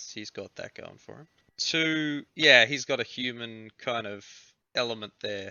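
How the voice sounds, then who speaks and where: Australian accent on a man's voice. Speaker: podcast host. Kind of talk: casual chat.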